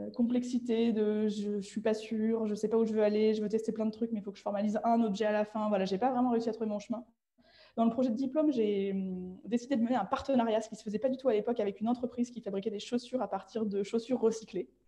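Very fast and somewhat breathy, a woman talks at a fairly high pitch with a dark, mellow tone and fairly even intonation. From France, Nantes region countryside. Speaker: designer. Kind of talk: interview.

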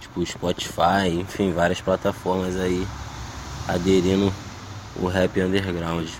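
A very deep, low male voice, monotone and flat, at a very slow pace with long, frequent pauses, over noticeable background noise. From Brazil, Baixada Fluminense (Duque de Caxias, Rio de Janeiro). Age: 20s. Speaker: rapper. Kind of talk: interview. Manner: casual slangy.

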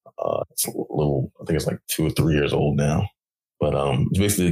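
The recording is dry and close, with no echo. A man with a very deep, low pitch speaks in a lively intonation. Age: 30s. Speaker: podcast co-host. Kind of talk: casual chat.

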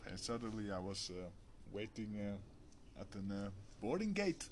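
A man talks fairly slowly, his voice set at a fairly low pitch. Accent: Dutch. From Netherlands. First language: Dutch. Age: 30s. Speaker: warehouse manager. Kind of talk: casual chat. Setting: video call.

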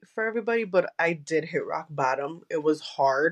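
At a moderate pace, a woman with a fairly low pitch speaks using lively intonation. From Chicago, US. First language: Spanish. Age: 20s. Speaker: podcast host and content creator. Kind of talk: casual interview chat. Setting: remote recording.

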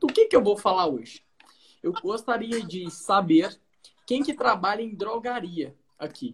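Using lively intonation, a man speaks at a fairly slow pace. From Brazil, Goiás. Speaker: pharmacist. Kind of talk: livestream talk. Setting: online livestream.

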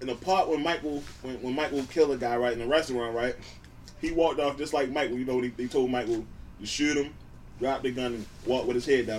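Very fast speech from a man, medium in pitch and with ordinary pitch variation. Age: 20s. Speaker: podcast co-host. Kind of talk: casual chat. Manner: talkative.

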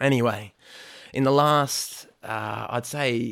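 The speaker has an Australian accent, vocal fry and ordinary pitch variation. The recording is very clean, with a silent background. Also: man. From Australia, Blue Mountains west of Sydney. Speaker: church planter and spiritual mentor. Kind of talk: interview.

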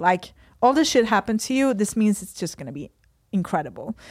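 A woman with a Swedish accent at a very fast pace, on a very clean recording with a silent background. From Sweden. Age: 30s. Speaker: fitness athlete. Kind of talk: podcast interview. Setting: studio.

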